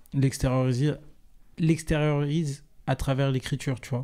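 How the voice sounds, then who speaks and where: Here a man speaks with a dark, mellow tone at medium pitch. His delivery is fairly slow and monotone, with flat intonation. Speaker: singer-songwriter in a duo with his brother. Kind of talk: podcast interview.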